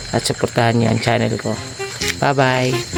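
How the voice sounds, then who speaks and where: Against music in the background, a man speaks at a moderate pace in a monotone, flat intonation. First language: Bisaya (Cebuano) (speaking Tagalog). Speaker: vlogger, rural fisherman. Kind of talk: casual vlog. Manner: soft-spoken.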